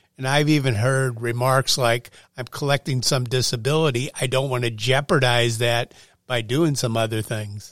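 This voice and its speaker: Medium in pitch with fairly even intonation, this man has an ordinary speaking voice. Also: moderate pace, very clean recording, silent background. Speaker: podcast co-host. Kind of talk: interview. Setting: studio.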